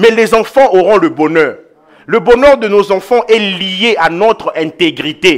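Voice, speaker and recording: Very slowly, a man with a high pitch speaks with lively intonation. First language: an African mother tongue, not French (speaking French). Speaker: pastor. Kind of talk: sermon.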